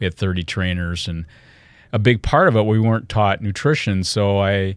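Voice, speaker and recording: Speech with a Michigan accent comes at a moderate pace with ordinary pitch variation, on a very clean recording with a silent background. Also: man, fairly low pitch for a man. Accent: US Midwest (Michigan). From Michigan, Lansing. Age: 60s. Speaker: health and wellness speaker, company founder. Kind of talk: podcast interview. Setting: studio.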